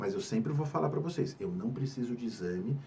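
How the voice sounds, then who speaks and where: Somewhat breathy with a dark, mellow tone, a man's fairly high voice moves at a moderate pace. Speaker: psychiatrist. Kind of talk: health education talk.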